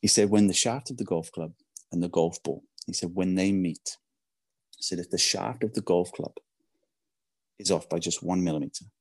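With long, frequent pauses, a man talks at a fairly quick pace in a very deep, low pitch with ordinary pitch variation, the sound dry and close with no echo. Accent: English. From England. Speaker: podcast guest. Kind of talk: storytelling in casual interview. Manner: animated.

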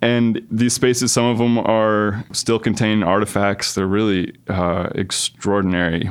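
This man has an ordinary speaking voice and an American accent, with fairly low pitch and fairly even intonation. His loudness stays very even, and he hardly pauses at all. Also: fairly slow pace. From Rhode Island, US. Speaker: author. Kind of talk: interview.

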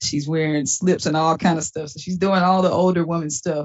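This speaker talks at a fairly quick pace with a Southern US accent. The intonation stays fairly even. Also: woman. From Mississippi. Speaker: stand-up comedian. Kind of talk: casual interview.

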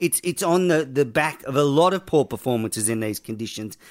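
Lively intonation in an Australian accent, on a very clean recording with a silent background. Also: man. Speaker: podcast host. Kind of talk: casual chat.

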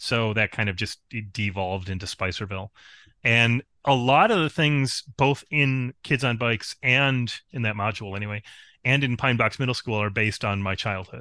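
A man with an American accent and an ordinary speaking voice talks at a moderate pace in a medium pitch with ordinary pitch variation, recorded in a dry, close sound with no echo against a quiet background. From rural upstate New York. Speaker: game author. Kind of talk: casual chat.

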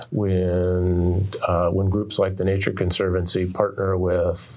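With an American accent and a very deep, low pitch, a man speaks at a fairly slow pace and fairly even intonation, amid noticeable background noise and audible room echo. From Oregon, US. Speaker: author. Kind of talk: interview. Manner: halting, with repetitions.

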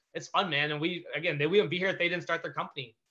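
A man talks at a very fast pace in a bright, sharp tone with vocal fry and ordinary pitch variation. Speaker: business founder, former pro baseball player. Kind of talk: casual interview. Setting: video call. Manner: high-energy, excitable.

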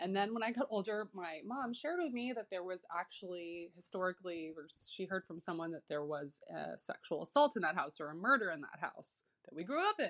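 With an American accent and an ordinary speaking voice, a woman at medium pitch talks at a fairly quick pace with hardly any pauses, lively intonation and big swings in loudness. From US West Coast, Berkeley, California. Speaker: listener sharing ghost story by voicemail. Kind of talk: recorded voicemail story.

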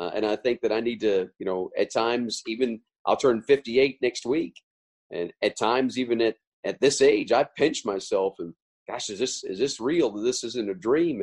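Recorded with a dry, close sound and no echo, a man with an ordinary speaking voice talks at a moderate pace, using a medium pitch and ordinary pitch variation. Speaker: sports radio play-by-play announcer. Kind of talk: interview.

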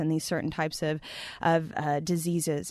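Over a quiet background, a woman talks at a fairly quick pace with a fairly low pitch. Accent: Texan. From Texas, US. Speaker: plastic pollution chemist. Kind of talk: interview.

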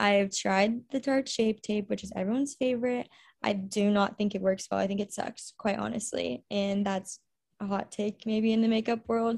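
A woman's somewhat breathy, medium-pitched voice with fairly even intonation and an American accent, on a very clean recording with a silent background. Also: moderate pace. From Texas, Houston area. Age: 20s. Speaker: college ministry coordinator. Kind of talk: casual interview.

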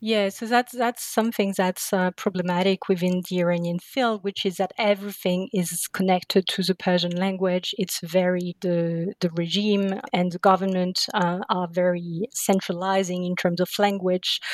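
A woman speaks at a moderate pace in a monotone, flat intonation with hardly any pauses. The sound is dry and close with no echo. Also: medium pitch for a woman. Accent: French. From France, Paris suburbs. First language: French. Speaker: literature scholar. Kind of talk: interview.

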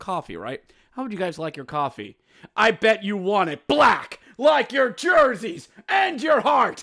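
In a put-on character voice, a man speaks fairly slowly at a high pitch on a very clean recording with a silent background. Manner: sinister, mocking then shouting.

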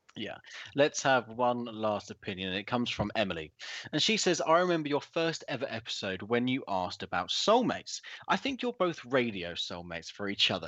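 This man talks at a fairly quick pace in a medium pitch, his voice swinging very widely up and down. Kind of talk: casual debate-style radio podcast. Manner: hesitant, filler-heavy.

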